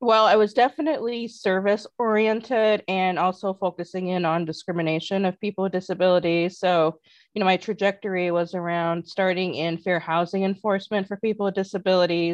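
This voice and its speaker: Here a woman has an ordinary speaking voice at medium pitch, with fairly even intonation, a fairly quick pace and hardly any pauses. The sound is dry and close with no echo, over a quiet background. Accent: American. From US Midwest (northern Indiana). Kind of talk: casual interview.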